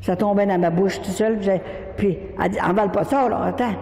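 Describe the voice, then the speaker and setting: Speaking in a Quebec accent at medium pitch and a moderate pace, a woman keeps a fairly even intonation amid audible room echo and noticeable background noise. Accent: Quebec French, Saguenay. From Quebec, Saguenay. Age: 80s+. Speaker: religious speaker. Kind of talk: religious testimony. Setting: church. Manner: halting.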